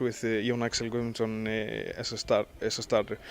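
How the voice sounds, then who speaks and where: With an Icelandic accent, a man talks at a moderate pace and medium pitch over noticeable background noise. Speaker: sports interviewer. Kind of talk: interview.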